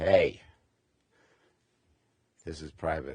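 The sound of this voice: A man uses a put-on character voice. The sound of it is raspy.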